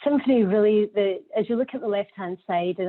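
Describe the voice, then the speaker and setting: A woman with a Scottish accent talks at a very fast pace. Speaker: healthcare data executive. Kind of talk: conference presentation. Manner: hesitant, repeats words.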